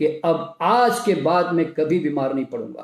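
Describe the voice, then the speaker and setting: A man speaks with lively intonation. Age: 70s. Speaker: naturopathy doctor and health speaker. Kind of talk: motivational health talk. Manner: animated.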